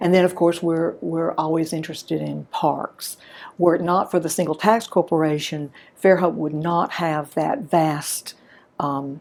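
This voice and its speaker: Fairly low in pitch, a woman speaks at a fairly slow pace with fairly even intonation. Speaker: local historian and archivist. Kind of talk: interview. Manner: quiet, subdued today.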